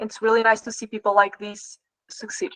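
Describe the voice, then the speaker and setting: A woman with a Portuguese accent, in dry, close sound with no echo. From Portugal. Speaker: trading performance coach. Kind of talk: live online class Q&A. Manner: halting.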